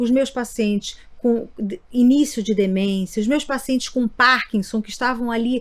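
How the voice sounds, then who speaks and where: A woman with a fairly high pitch speaks fairly slowly, showing ordinary pitch variation. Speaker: neurologist, sleep medicine doctor. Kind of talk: interview podcast. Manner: halting, repeats words.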